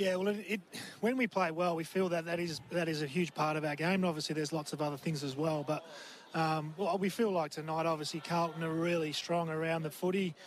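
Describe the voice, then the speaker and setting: A man with an Australian accent, high pitch, fairly even intonation, very even loudness and a fairly quick pace. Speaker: assistant football coach. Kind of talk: interview. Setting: boundary side at the ground.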